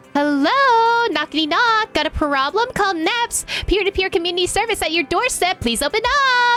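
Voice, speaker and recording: Using a put-on character voice at an extremely high pitch, a woman speaks at a moderate pace over clear background noise. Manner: threatening.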